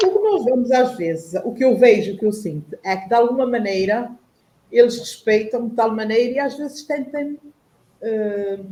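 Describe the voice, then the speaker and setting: A woman's plain, everyday voice at a fairly high pitch and moderate pace, with lively intonation and big swings in loudness. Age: 60s. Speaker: panel guest on online talk show. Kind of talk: personal testimony in panel discussion.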